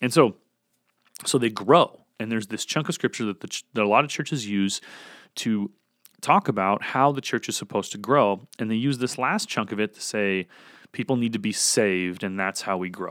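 A man at a medium pitch and moderate pace with ordinary pitch variation, in a dry, close sound with no echo and a very clean recording with a silent background. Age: 20s. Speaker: podcast host and former pastor. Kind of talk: solo podcast talk on scripture. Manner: halting, many fillers and restarts.

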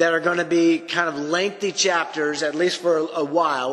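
A man's high-pitched voice, at a moderate pace, comes through noticeable background noise. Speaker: Bible teacher podcast host. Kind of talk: Bible teaching monologue. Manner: casual with filler words.

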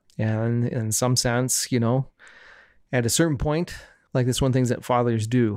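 Pausing long and often, a man of medium pitch keeps his loudness very even in a very clean recording with a silent background. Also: fairly slow pace. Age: 40s. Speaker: podcast guest, aspiring woodworker. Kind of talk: casual chat. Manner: halting, many fillers.

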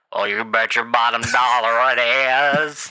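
A man's put-on character voice in a Texan accent, medium in pitch, at a fairly slow pace.

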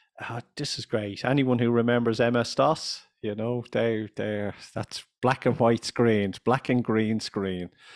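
In a Dublin accent, a man speaks with fairly even intonation on a very clean recording with a silent background. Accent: Irish (Dublin). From Ireland. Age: 50s.

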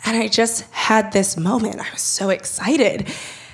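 A woman speaks with an American accent at a moderate pace. Her pitch sits in the medium range and varies in an ordinary way. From Los Angeles. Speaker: photographer and writer. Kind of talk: live storytelling. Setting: stage with live audience. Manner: casual, animated.

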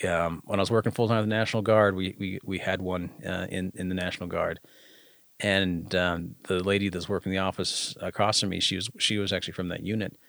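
Speaking at a fairly quick pace, a man with an American accent has a very deep, low pitch and fairly even intonation. The recording is very clean, with a silent background. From Uintah Basin, Utah. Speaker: army officer and veterans group founder. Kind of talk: podcast interview.

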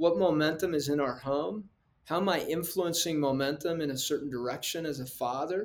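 A man speaks at a moderate pace with a plain, everyday voice. His pitch is fairly high, with ordinary pitch variation. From Mexico, then Colorado. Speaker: parenting expert and psychologist. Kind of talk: interview.

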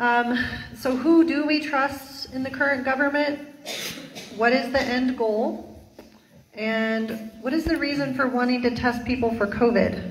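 Over noticeable background noise, a woman with a high pitch speaks at a fairly slow pace with fairly even intonation. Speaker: event host. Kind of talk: casual chat.

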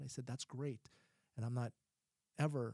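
Somewhat breathy and dark, mellow in tone, a man's medium-pitched voice in an American accent moves at a fairly quick pace. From Ohio, US Midwest. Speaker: psychologist. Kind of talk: casual chat.

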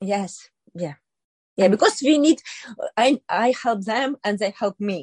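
At a fairly slow pace, the somewhat breathy speaker uses lively intonation and leaves long, frequent pauses. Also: woman, fairly high pitch for a woman. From Ukraine, Kherson. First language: Ukrainian or Russian. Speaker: businesswoman. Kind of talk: interview. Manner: halting.

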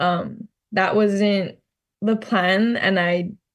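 A woman speaks at a medium pitch in a Hawaiian accent against a quiet background. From Hawaii, Maui. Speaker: college track athlete. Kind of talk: interview.

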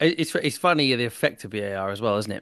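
With a British accent, the speaker goes at a fairly quick pace against a quiet background. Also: man. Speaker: football podcast host. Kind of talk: casual chat.

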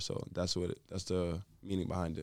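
With a New York accent, a man talks at a fairly quick pace on a very clean recording with a silent background. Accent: New York City. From New York City (Brooklyn), Jamaican family. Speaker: college basketball player. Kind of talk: casual interview.

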